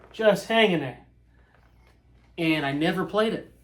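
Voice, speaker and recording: A man's voice, with ordinary pitch variation, carries audible room echo. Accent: American. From Indiana, US Midwest. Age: 30s. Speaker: guitar reviewer. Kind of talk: casual chat. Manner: animated; halting.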